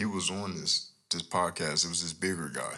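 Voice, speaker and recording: Fairly quick and bright, sharp in tone, a man speaks with vocal fry. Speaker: podcast host and music artist. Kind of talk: casual solo podcast monologue. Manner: animated, blunt, opinionated.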